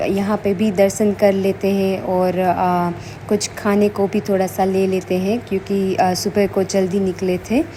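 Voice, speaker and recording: A woman speaks very slowly over noticeable background noise. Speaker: family vlogger. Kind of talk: travel vlog narration. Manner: hesitant with many fillers.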